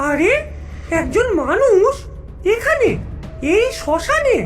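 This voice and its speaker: A female-sounding cartoonish character voice speaks at an extremely high pitch and a fairly slow pace. Clear music plays in the background. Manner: hums 'um' while thinking.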